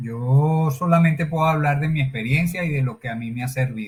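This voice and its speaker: A man's fairly high-pitched, somewhat breathy voice. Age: 60s. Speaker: personal development speaker. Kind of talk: interview conversation.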